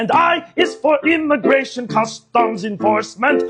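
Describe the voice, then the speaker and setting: With faint music behind him, a man does a cartoonish character voice at an extremely high pitch and a moderate pace. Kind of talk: comedy puppet sketch.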